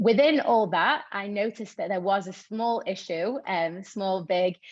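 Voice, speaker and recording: Lively intonation in a Manchester accent at a fairly slow pace. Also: woman, medium pitch for a woman. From northern England, Manchester. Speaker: tech nonprofit co-founder. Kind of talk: presentation. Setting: video call.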